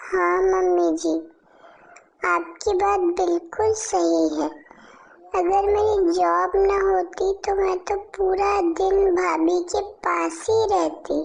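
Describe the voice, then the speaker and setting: A woman uses a cartoonish character voice, pitched extremely high and delivered at a very slow pace. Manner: sugary, evasive.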